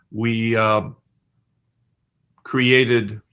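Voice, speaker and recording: Speaking with an American accent, a man has a medium pitch and a bright, sharp tone. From USA. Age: 70s. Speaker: spiritual teacher, yogi. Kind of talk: conference talk.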